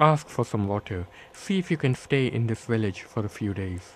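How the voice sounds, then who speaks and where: Speaking at a moderate pace in a Bombay accent, the voice has lively intonation. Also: man. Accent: Bombay Indian accent, kept. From India, Bombay. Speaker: author. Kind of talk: reading aloud from his book. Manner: measured, literary narration.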